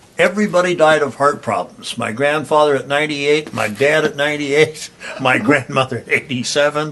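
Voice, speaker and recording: A man with an American accent talks fairly quickly at a fairly high pitch, with ordinary pitch variation and hardly any pauses, over noticeable background noise. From US Midwest, rural Nebraska. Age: 70s. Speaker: artist. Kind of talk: casual interview. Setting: artist's studio.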